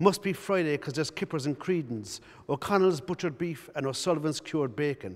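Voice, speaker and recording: A fairly high-pitched man in a Cork accent, very fast, with lively intonation. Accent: Cork Irish. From Cork, Ireland. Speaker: playwright. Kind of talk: reading from his own play. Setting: arts centre.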